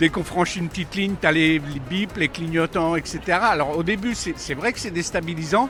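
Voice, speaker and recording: Over background music, a man with a high pitch talks fairly quickly with hardly any pauses and ordinary pitch variation. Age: 60s. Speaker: senior driver, street interviewee. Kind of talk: vox pop interview. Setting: senior fair in Paris.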